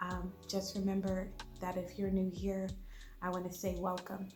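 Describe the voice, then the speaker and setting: Audible room echo around a woman's voice, medium in pitch and moderate in pace. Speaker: home cooking YouTuber. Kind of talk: cooking tutorial. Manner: casual with many ums.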